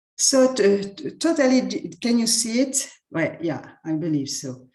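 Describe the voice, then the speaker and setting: Speaking slowly-ish with a French accent, a woman uses a fairly high pitch that swings very widely. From France. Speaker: university representative. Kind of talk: presentation. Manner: halting, stuttering repetitions.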